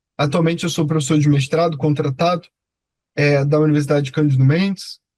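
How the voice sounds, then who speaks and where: Somewhat breathy and fairly high-pitched, a man speaks in a monotone, flat way with a Rio de Janeiro accent. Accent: Rio de Janeiro (carioca). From Rio de Janeiro, Brazil. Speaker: law professor. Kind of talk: online lecture. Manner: hesitant, many filler 'é'.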